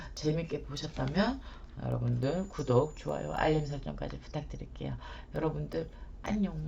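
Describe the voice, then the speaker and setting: Over audible room echo, a soft-spoken woman talks at a moderate pace. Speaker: shaman and tarot reader. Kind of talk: tarot reading for viewers. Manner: soft, low effort, slurred pronunciation.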